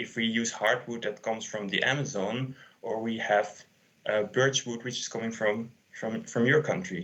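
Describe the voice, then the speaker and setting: At a moderate pace, a man talks in an ordinary speaking voice at medium pitch. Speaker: sustainability consultant. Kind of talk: conference talk.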